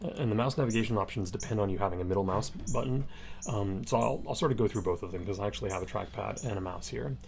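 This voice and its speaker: At a very fast pace, a man talks with a fairly low pitch and vocal fry. His pitch swings very widely. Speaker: instructor. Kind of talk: tutorial.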